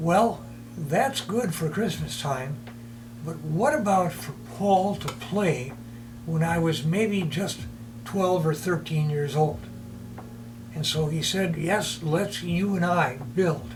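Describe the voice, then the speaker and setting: With an American accent, this lively-intoned voice moves at a very slow pace with long, frequent pauses, amid noticeable background noise and audible room echo. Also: man, fairly high pitch for a man. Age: 80s+. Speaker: retired teacher, model train hobbyist. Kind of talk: documentary interview, personal storytelling.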